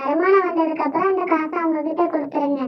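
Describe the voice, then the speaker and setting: Extremely high-pitched, a cartoonish character voice. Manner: chatty, encouraging.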